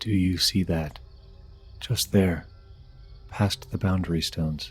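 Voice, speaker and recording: A man puts on a character voice, very deep and low in pitch, with fairly even intonation. He speaks fairly slowly over music in the background. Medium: solo performance. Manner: hushed, intense.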